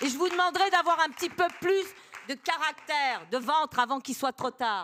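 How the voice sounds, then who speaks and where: In a raised, projected voice, a woman speaks at high pitch and a moderate pace, her tone animated and her intonation lively. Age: 60s. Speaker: audience member. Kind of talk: audience question, impassioned remarks.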